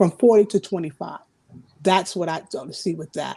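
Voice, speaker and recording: A woman speaks with a medium pitch and a dark, mellow tone. Her pace is moderate and her pitch variation ordinary. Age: 60s. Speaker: ministry panelist. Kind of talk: casual discussion. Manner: halting, repeats words.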